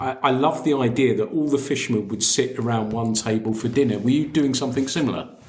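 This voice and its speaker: A man at a medium pitch with ordinary pitch variation and a very fast pace, over noticeable background noise. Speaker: podcast host. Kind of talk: podcast interview questions.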